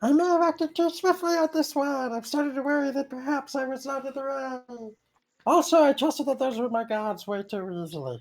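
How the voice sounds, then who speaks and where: A woman puts on a squeaky character voice, pitched high. She talks at a fairly quick pace. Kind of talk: formal, archaic. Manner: worried, contrite.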